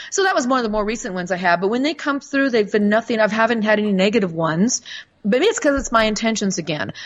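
Against noticeable background noise, a woman with an American accent talks at a very fast pace, her fairly high pitch showing ordinary variation. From United States. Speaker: author and spirit communicator. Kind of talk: casual interview.

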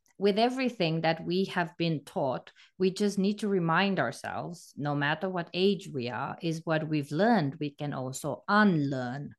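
A woman with a plain, everyday voice speaks at a fairly slow pace in a fairly low pitch, her intonation lively, against a quiet background. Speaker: podcast co-host, hypnotherapist. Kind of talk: casual chat, podcast discussion.

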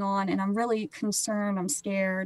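A woman speaks with a Midwestern American accent and fairly even intonation, recorded with a dry, close sound and no echo. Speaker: photographer and grocery worker. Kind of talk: testimony.

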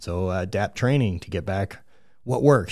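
A man with a plain, everyday voice talks fairly quickly at a fairly low pitch with lively intonation in a very clean recording with a silent background. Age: 30s. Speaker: former Highland Games athlete. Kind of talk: casual chat. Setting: studio.

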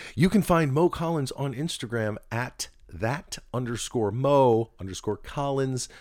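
Speaking at a fairly slow pace with hardly any pauses, a man with an American accent and medium pitch uses lively intonation in an ordinary speaking voice, on a very clean recording with a silent background. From New Jersey. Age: 50s. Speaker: podcast co-host. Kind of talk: casual chat. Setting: home spare bedroom recording.

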